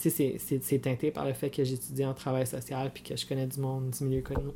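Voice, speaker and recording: Somewhat breathy and dark, mellow in tone, a man speaks at a moderate pace with monotone, flat intonation. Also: hardly any pauses. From Franco-Ontarian, Cornwall, Ontario. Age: 30s. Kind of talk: casual interview chat.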